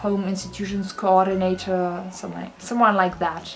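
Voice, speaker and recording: A woman with a medium-pitched voice speaks while music plays behind her. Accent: German. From Germany. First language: German. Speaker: university student. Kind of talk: casual vlog talk to camera.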